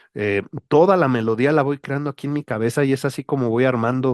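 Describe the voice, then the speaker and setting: A man speaks at a medium pitch and a moderate pace, with ordinary pitch variation. The sound is dry and close, with no echo. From Mexico. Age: 40s. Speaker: writer. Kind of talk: casual monologue. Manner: hesitant, many fillers.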